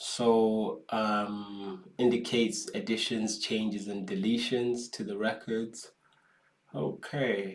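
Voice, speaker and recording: With a non-native accent, a man speaks at a very slow pace and fairly low pitch, his intonation fairly even and audible room echo around him. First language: not English. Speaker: data science youtuber. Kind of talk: tutorial. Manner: casual, hesitant with fillers.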